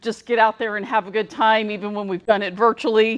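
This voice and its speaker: This is a woman's voice. It sits fairly high in pitch. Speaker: council treasurer. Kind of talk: meeting announcement. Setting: in-person meeting. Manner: loud.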